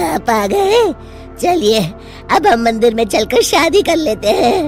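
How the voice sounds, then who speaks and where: A cartoonish character voice, high-pitched with very wide pitch swings, at a moderate pace over clear background music. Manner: menacing, cackling.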